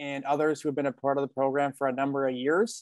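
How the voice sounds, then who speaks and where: Dry sound with no echo from a man, the background quiet. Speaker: program partner host. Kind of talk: webinar welcome address. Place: home room. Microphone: video call.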